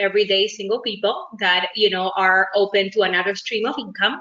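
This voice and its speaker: A woman talks at a medium pitch. She has a Uruguayan accent. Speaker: network marketing business owner. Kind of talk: self-introduction in video meeting. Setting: video call.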